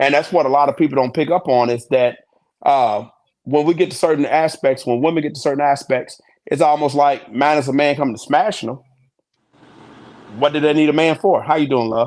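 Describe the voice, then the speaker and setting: A man's fairly high-pitched voice at a fairly quick pace, with fairly even intonation and long, frequent pauses. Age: 40s. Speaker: truck driver. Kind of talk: casual chat.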